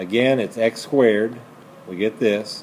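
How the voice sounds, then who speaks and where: Against light background noise, a man speaks at a fairly slow pace. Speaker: math teacher. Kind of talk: lecture. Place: classroom.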